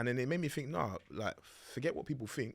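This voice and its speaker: Over a silent background in a very clean recording, a man speaks at a fairly quick pace. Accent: London. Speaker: podcast host. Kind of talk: casual chat. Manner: fast.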